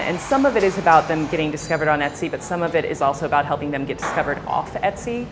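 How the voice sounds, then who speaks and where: Very fast speech from a woman with an American accent and fairly low pitch, music in the background. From United States. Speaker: tech company executive. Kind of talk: interview.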